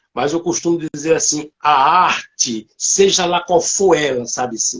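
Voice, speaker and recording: The speaker is a man. His intonation is lively. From Alagoas, Brazil. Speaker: singer and artist. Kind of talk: casual live interview. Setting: online livestream.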